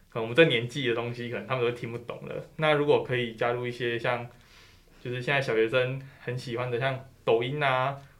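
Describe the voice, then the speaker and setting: Over audible room echo, a man of medium pitch speaks fairly quickly with monotone, flat intonation. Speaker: graduate student. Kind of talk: interview. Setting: studio.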